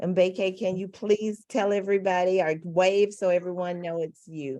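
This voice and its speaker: With a Mississippi accent, a woman speaks at a moderate pace in a medium pitch, her tone dark and mellow and her intonation fairly even. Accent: Southern Mississippi. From US South, Mississippi. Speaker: panel moderator. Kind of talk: panel introductions. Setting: video call.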